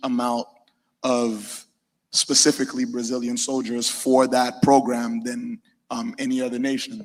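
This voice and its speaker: A man speaks with a slight Haitian accent. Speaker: panelist. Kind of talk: panel discussion.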